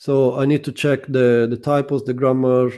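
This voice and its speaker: A man with a non-native accent talks at a fairly slow pace in a dark, mellow tone. His pitch is medium and his intonation fairly even. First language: not English. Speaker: SEO consultant. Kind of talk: interview.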